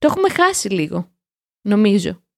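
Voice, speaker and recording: A woman at medium pitch speaks with fairly even intonation, the sound dry and close with no echo. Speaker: podcast co-host, language learning show. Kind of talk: casual chat. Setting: remote call.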